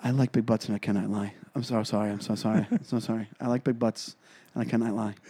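In a put-on character voice, a man rattles along at a very fast pace, raspy and at a medium pitch. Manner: mock apologetic, sincere-sounding.

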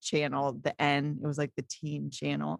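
This woman talks at a moderate pace in an animated tone. The recording is very clean and dry, close-up with no echo and a silent background. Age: 30s. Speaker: singer-songwriter and youth pastor. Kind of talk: casual podcast interview. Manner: animated, laughs often.

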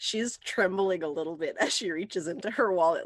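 A woman speaks in a plain, everyday voice at a medium pitch. Her pace is moderate and her pitch variation ordinary. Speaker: tabletop game player. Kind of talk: casual tabletop game banter.

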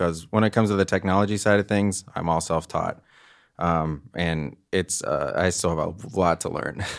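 The speaker has an American accent, with fairly even intonation and a moderate pace. The recording is very clean, with a silent background. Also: man, very deep, low pitch for a man. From US South. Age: 20s. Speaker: composer. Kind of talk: casual chat.

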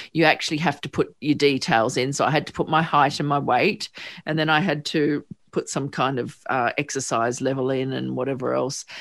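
In a very clean recording with a silent background, a woman speaks with an Australian accent. Her pitch is very deep and low, and her intonation fairly even. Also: fairly quick pace. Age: 50s. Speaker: psychotherapist and podcast host. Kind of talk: interview.

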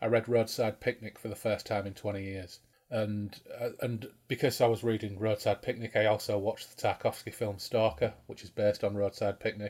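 In a British accent, a man talks at a fairly quick pace and a fairly low pitch. His intonation is monotone and flat, and his voice is somewhat breathy. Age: 40s. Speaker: podcast host. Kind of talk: casual chat over drinks. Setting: video call, recorded remotely. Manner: chatty, humorous.

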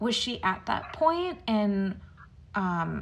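A somewhat breathy female voice. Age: 30s. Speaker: podcast co-host and interviewer. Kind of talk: casual interview chat.

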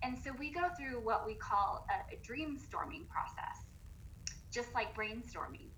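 A woman's fairly slow speech amid noticeable background noise and audible room echo. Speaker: personal development coach with a doctorate. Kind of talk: casual interview chat. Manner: animated, excited.

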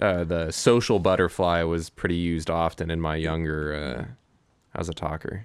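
A man talks in an American accent, his very deep, low pitch paired with fairly even intonation and a moderate pace. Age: 20s. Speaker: music promoter and clothing company founder. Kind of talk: casual chat. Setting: home garage.

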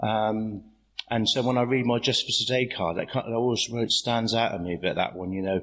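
This man speaks at a moderate pace in a medium pitch, with ordinary pitch variation. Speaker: AA meeting speaker. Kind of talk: recovery share at meeting. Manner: halting, filler-heavy.

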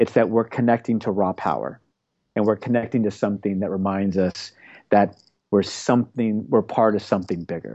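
Speaking in a plain, everyday voice with an American accent, a man talks at a fairly quick pace and a fairly low pitch with fairly even intonation. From Oklahoma. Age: 40s. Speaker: television network executive and paddle surfer. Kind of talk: casual interview.

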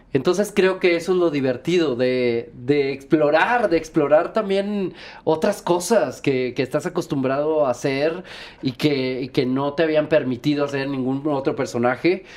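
A plain, everyday voice from a man, fairly high in pitch with ordinary pitch variation, at a fairly slow pace. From Monterrey, Nuevo León, Mexico. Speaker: musical theatre actor and singer. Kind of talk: casual chat.

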